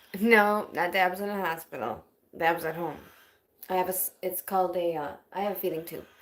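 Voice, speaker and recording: A woman with a plain, everyday voice speaks in an American accent at a medium pitch. Her pace is fairly quick, with ordinary pitch variation. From Wisconsin, US Midwest. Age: 30s. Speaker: livestreamer with chronic illness, singer-songwriter. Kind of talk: casual livestream chat. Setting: home livestream.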